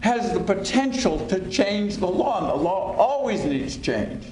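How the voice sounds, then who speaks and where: A man's high-pitched voice with lively intonation at a fairly slow pace, amid audible room echo and noticeable background noise. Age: 70s. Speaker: lawyer and former federal prosecutor. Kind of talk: panel talk.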